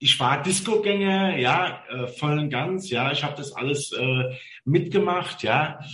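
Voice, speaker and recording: In a room with audible echo, a man talks very slowly at a fairly high pitch with ordinary pitch variation. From Mainz, Rhineland-Palatinate, Germany. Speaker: chauffeur. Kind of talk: casual interview chat.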